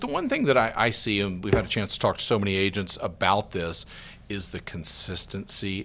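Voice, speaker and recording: The man's voice is fairly low, bright and sharp. There is vocal fry along with lively intonation. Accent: American. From US South, Georgia. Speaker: real estate market analyst. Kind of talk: interview.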